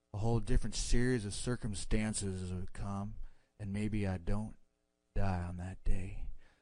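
A man's fairly low, dark, mellow voice at a moderate pace, monotone and flat, with big swings in loudness and audible room echo. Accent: American. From Texas. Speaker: caller. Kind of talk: casual chat.

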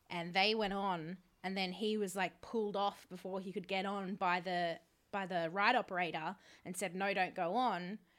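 A woman in an Australian accent, medium pitch, monotone and flat intonation, moderate pace. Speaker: podcast host. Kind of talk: casual chat.

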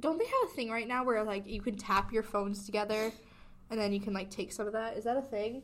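A woman's fairly high voice at a very fast pace, fairly even in intonation, over noticeable background noise. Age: 18. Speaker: college student podcast co-host. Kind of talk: casual chat.

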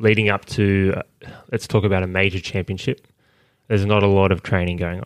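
In an Australian accent, a man talks at a fairly quick pace with a fairly low pitch and monotone, flat intonation. The sound is dry and close with no echo, on a very clean recording with a silent background. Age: 20s. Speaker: Olympic high jumper. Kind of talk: interview. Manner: halting.

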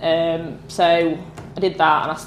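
A woman with a strong northern English accent talks at a fairly low pitch. Audible room echo and noticeable background noise surround her. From northern England. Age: 20s. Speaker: motorsport photographer. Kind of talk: casual chat. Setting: indoor meet-up venue.

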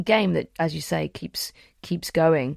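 Heard on a very clean recording with a silent background and a dry, close sound with no echo, a woman with a British accent talks at a moderate pace. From England. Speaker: podcast host and acting teacher. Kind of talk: casual chat.

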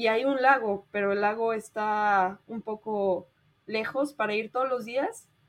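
A fairly high female voice with a Mexico City accent, at a very slow pace with fairly even intonation. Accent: Mexican Spanish (Mexico City). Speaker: traveler and volunteer. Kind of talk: interview.

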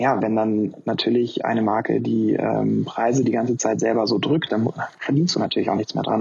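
A man talks at a fairly quick pace, his loudness very even. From northern Germany, near Hannover. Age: 20s. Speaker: running shoe industry employee. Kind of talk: casual chat.

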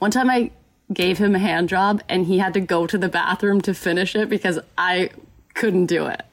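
A woman with an American accent speaks in a plain, everyday voice at a moderate pace, with medium pitch and ordinary pitch variation. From Texas, Dallas suburbs. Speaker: YouTuber and filmmaker. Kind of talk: casual chat. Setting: video call.

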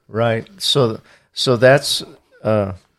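A man's medium-pitched voice at a very slow pace. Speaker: podcast host. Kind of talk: casual interview chat. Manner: hesitant, filler-heavy.

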